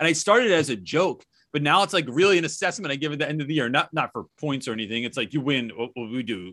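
A man with an American accent, fairly high-pitched and bright and sharp, with vocal fry, a very fast pace, an animated tone and lively intonation over a quiet background. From New Jersey. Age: 40s. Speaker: teacher. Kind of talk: casual interview chat. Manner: fast, animated.

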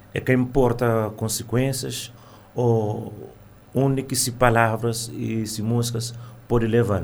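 With audible room echo, a man speaks very slowly at a medium pitch in a monotone, flat delivery. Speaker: singer and music teacher. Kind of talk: radio interview.

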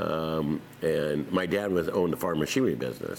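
A man speaks in a very deep, low voice with an American accent. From California, Tracy area. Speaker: winery owner and former farmer. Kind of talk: oral history interview.

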